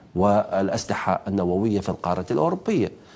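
A man is speaking. He keeps a moderate pace. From Iraq. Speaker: journalist and political analyst; journalist, political analyst. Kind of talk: televised panel debate. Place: studio. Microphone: lapel.

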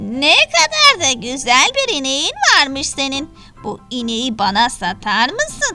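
A female-sounding voice performs a put-on character voice while faint music plays in the background. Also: fairly slow pace. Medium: read story. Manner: coaxing, smooth-talking.

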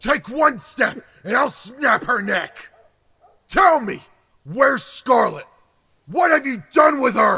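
Shouting in a put-on character voice at a fairly slow pace, with long, frequent pauses. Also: man, extremely high pitch for a man. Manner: menacing, threatening.

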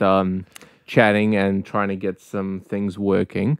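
The speaker is a man with a New Zealand accent. His pitch is fairly low. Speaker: podcast co-host. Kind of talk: casual chat. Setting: online voice call.

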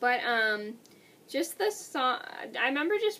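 The woman's tone is bright and sharp. Her pitch swings very widely. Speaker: vlogger. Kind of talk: casual vlog chat. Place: home room. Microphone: webcam.

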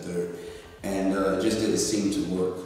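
A man's very deep, low voice in a monotone, flat intonation at a moderate pace, with strong room echo and light background noise. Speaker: interview guest. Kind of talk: interview answer. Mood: earnest, personal story. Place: meeting room.

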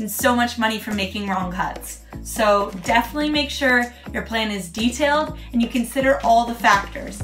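A woman speaks at a fairly quick pace with ordinary pitch variation. Faint music plays in the background. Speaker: DIY renovation vlogger. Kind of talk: tutorial. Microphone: phone near.

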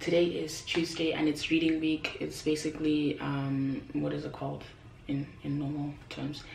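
Vocal fry runs through this slightly mellow voice, which keeps a fairly even intonation against audible room echo. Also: woman.

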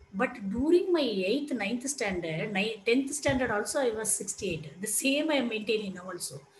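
Pitched fairly high, a woman speaks at a fairly slow pace with very wide pitch swings. Light background noise and audible room echo are present. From India. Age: 40s. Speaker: lecturer. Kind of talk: lecture. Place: home room. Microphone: headset.

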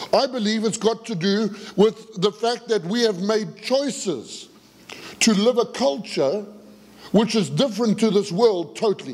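A man with a high pitch, ordinary pitch variation and a fairly slow pace. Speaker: pastor. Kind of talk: sermon. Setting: church. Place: church. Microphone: headset.

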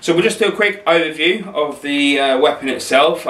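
Audible room echo surrounds a man's voice. He talks at a moderate pace. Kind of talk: casual product review.

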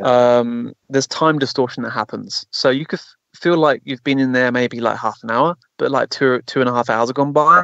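A man's normal speaking voice of medium pitch and ordinary pitch variation, at a moderate pace with hardly any pauses. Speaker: physical mediumship circle host and consciousness retreat leader. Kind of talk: casual conversational talk on a radio show interview.

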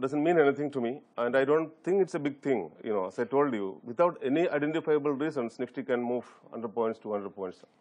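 Against a quiet background, a man with a Keralan accent speaks at a fairly high pitch with lively intonation. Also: fairly quick pace, hardly any pauses. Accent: Indian English, Malayali. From India, Kerala. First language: Malayalam. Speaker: fund manager. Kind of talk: TV interview. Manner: halting. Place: studio.

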